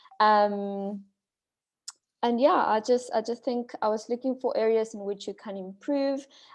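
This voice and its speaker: With a non-native accent, a woman speaks at a fairly high pitch, a fairly slow pace and with fairly even intonation. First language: not English. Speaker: speech evaluator. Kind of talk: speech evaluation. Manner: halting.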